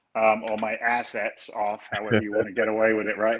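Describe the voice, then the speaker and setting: Here a man talks with an English accent at a medium pitch. His pace is fairly quick. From London, England. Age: 50s. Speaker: real estate investor, former firefighter. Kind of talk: interview conversation. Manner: animated, casual.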